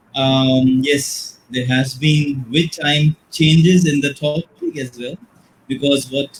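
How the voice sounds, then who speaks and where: A man speaks at a fairly high pitch with fairly even intonation. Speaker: teacher educator. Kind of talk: webinar presentation. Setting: live online webinar. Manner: quiet. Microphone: too quiet.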